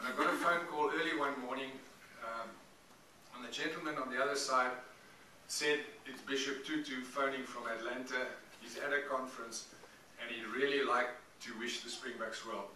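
Delivery at a moderate pace with fairly even intonation is broken by long, frequent pauses, with audible room echo and light background noise. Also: man. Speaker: guest. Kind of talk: after-dinner speech. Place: hall.

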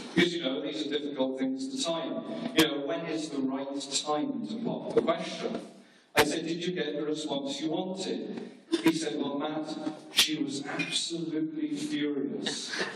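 Noticeable background noise and audible room echo fill the recording. A man speaks with a fairly high pitch. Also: ordinary pitch variation, fairly slow pace. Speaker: best man. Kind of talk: best man wedding speech, comic toasts with jokes, teasing the groom. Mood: humorous storytelling. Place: hall. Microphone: pa.

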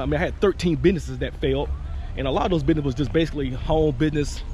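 Light background noise sits behind a man whose ordinary pitch variation comes through a dry sound with no echo. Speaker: business owner vlogger. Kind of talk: casual vlog chat. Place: garden. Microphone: phone near.

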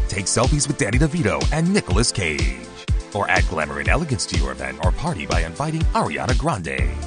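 Very fast speech over music in the background. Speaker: voice actor. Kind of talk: radio commercial read.

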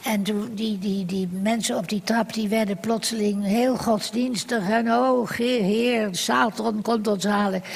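At a very slow pace with hardly any pauses, a woman speaks at a fairly high pitch with fairly even intonation. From Netherlands. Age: 80s+. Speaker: writer; talk show guest. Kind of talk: talk show interview answer, unprepared wartime memory. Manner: spontaneous, hesitant. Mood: grave, recalling wartime memory. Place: stage. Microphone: handheld.

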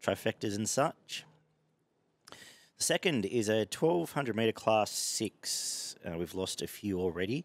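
A man with an Australian accent, dry sound with no echo. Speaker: horse racing tipster. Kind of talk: casual chat. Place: garden. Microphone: headset.

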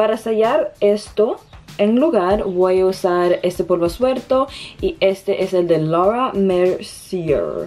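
A woman with a medium-pitched voice and a slightly mellow tone speaks at a slow pace with lively intonation and few pauses, while faint music plays in the background.

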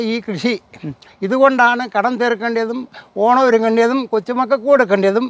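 A man's extremely high-pitched voice with a dry sound and no echo. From Kerala, India. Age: 60s. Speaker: farmer. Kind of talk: news interview testimony. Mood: upset, aggrieved. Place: farm. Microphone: lapel.

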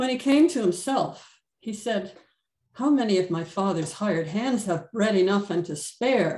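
Against a quiet background with audible room echo, a somewhat breathy woman speaks at a fairly slow pace with lively intonation. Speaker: Bible study participant. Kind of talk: reading aloud. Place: home room. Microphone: video call.

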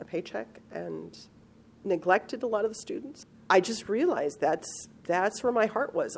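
A woman's normal speaking voice at a moderate pace, with ordinary pitch variation. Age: 50s. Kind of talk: interview answer.

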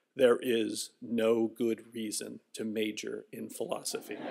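A man adopts a put-on character voice and talks fairly slowly. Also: medium pitch for a man. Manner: stooped, gravely confiding.

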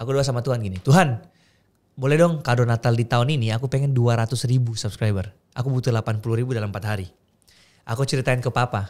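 Very fast pace from a man at medium pitch, ordinary pitch variation, quiet background. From Makassar, Indonesia; Indonesia. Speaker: content creator; podcast guest. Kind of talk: casual chat. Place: studio. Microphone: studio mic.

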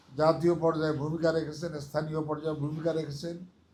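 In a room with audible echo, a man speaks in a fairly high pitch with a dark, mellow tone. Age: 70s. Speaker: lawyer and election advisor. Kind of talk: campaign speech.

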